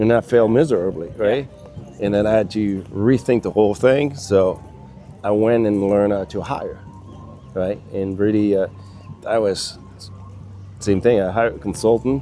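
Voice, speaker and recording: A man with a French accent speaks at a fairly low pitch and moderate pace, with long, frequent pauses. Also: ordinary pitch variation. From France. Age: 60s. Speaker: business consultant. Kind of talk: casual chat.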